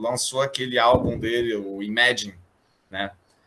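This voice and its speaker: A man's ordinary speaking voice, fairly even in intonation, at a moderate pace. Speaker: astrologer. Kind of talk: interview.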